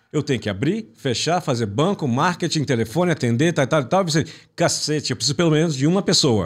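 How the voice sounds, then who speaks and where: A somewhat breathy man with a fairly high pitch and lively intonation speaks at a fairly quick pace on a very clean recording with a silent background. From Brazil (born in Italy, raised in Brazil from infancy). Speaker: business mentor and consultant. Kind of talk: interview. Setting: studio.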